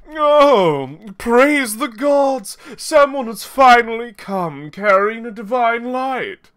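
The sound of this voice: The put-on character voice sits at a fairly high pitch and moves at a very slow pace with hardly any pauses.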